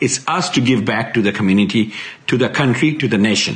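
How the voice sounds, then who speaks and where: At a fairly quick pace, a man with a Bengali accent speaks at a medium pitch. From Bangladesh. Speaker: IT consultant. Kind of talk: recorded video message. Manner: halting. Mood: earnest, formal, proud. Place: home room. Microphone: phone near.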